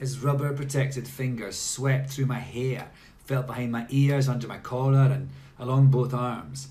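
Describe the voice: The voice is plain reading aloud. It simply reads the words out.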